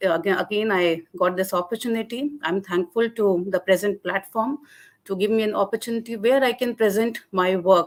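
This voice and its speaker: A woman's medium-pitched voice with a Jammu accent. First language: Dogri. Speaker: linguistics lecturer. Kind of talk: academic webinar presentation. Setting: online webinar. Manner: hesitant, many fillers.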